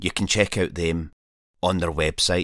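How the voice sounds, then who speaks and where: With a Scottish accent, a man speaks at a fairly slow pace in a very deep, low pitch, on a very clean recording with a silent background. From Scotland. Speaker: wild camper and podcaster. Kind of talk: scripted narration.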